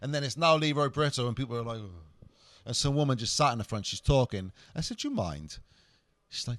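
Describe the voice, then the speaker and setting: A man with a Cardiff accent, with long, frequent pauses. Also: very clean recording, silent background. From Wales, Cardiff. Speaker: comedian. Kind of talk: casual chat.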